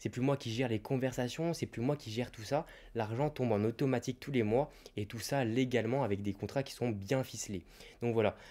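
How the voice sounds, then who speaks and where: Talking at a fairly quick pace, a man has a medium pitch and a dark, mellow tone. His pitch varies in an ordinary way. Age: 20s. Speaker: YouTuber and online reseller; YouTuber, online reseller. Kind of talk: YouTube advice monologue. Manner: casual, direct address. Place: home room. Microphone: handheld.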